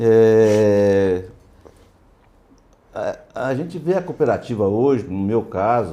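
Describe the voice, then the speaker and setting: A dark, mellow tone with lively intonation, a very slow pace and long, frequent pauses. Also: man, medium pitch for a man. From southern Minas Gerais, Brazil (São Gonçalo do Sapucaí). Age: 70s. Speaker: cooperative vice-president and coffee farmer. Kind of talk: casual interview. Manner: halting.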